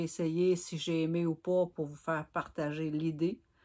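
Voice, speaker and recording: Speaking very slowly in a Gaspésie accent, a woman keeps a fairly low, monotone, flat delivery on a very clean recording with a silent background. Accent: Quebec French (Gaspésie). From Gaspésie, Quebec. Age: 50s. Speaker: knitting vlogger. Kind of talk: casual vlog storytelling.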